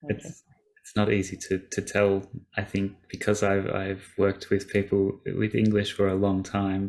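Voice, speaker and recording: The man's fairly low voice holds a monotone, flat intonation at a fairly slow pace. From Australia. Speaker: language school teacher, webinar host. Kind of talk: webinar discussion.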